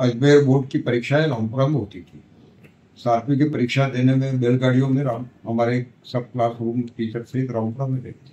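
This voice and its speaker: A man's dark, mellow voice, medium in pitch and flat in intonation, with big swings in loudness. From Madhya Pradesh, India (Neemuch district village). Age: 80s+. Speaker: veteran local politician. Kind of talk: interview, recounting life history.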